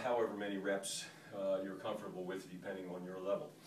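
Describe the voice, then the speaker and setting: Amid noticeable background noise and audible room echo, a man speaks at a fairly low pitch with fairly even intonation. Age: 60s. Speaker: fitness instructor. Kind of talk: tutorial. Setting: hotel room. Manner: hesitant, many fillers.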